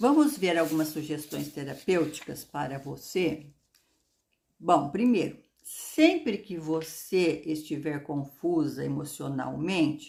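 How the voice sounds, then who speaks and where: Very slow speech from a woman with a very deep, low pitch. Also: ordinary pitch variation. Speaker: astrology video host. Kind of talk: astrology talk to camera.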